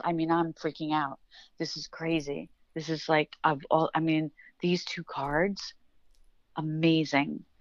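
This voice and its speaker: Her pitch is fairly low, and she speaks at a fairly slow pace. The woman talks with an American accent. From New York. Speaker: tarot reader. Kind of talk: casual chat.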